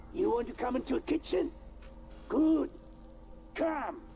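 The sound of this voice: A put-on character voice at a high pitch, with clear background noise. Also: moderate pace.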